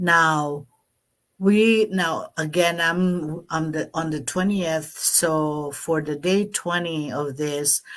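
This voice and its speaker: A woman speaks very slowly with a Filipino accent, her pitch fairly low and her intonation fairly even. The recording is very clean, with a silent background. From Philippines (Pampanga). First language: Kapampangan. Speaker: online business vlogger. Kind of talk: live stream talk. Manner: halting, many fillers.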